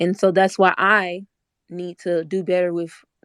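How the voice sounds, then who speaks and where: With an American accent, a woman speaks at a medium pitch in a dry, close sound with no echo. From Orlando, Florida, US. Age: 20s. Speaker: online debate participant. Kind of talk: casual discussion. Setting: online audio room.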